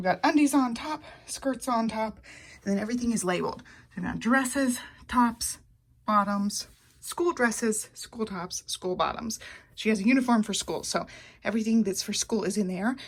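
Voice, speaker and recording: A woman talks with a somewhat breathy quality. Her loudness swings widely from moment to moment. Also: fairly high pitch for a woman, ordinary pitch variation, moderate pace. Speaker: family vlogger. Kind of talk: vlog narration. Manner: casual, chatty.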